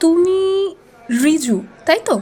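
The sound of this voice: A woman uses a put-on character voice at an extremely high pitch, with a dark, mellow tone. She speaks slowly, with big pitch swings.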